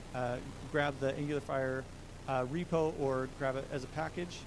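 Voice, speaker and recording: Audible room echo carries a man's voice, fairly high in pitch with fairly even intonation. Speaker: software developer giving a tech talk. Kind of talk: tech meetup presentation with live demo. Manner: fast; casual with many filler words.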